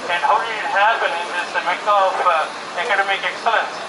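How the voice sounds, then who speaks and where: Noticeable background noise and audible room echo surround a man speaking. His pitch is high and his pace moderate. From India. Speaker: doctor. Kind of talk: political rally speech. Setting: outdoors.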